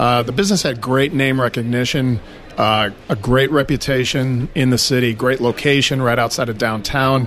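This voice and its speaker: A man at medium pitch with an American accent, moderate pace, ordinary pitch variation, and noticeable background noise. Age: 50s. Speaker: auto repair shop owner. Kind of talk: interview.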